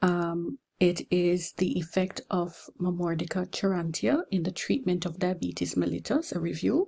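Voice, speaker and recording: A woman's voice sits fairly low in pitch, somewhat breathy, with a dark, mellow tone. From Jamaica. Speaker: pharmacy lecturer. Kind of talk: lecture.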